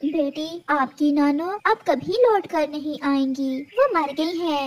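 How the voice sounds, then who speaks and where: In a cartoonish character voice with a high pitch, the speech moves at a fairly slow pace. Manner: gentle, sorrowful.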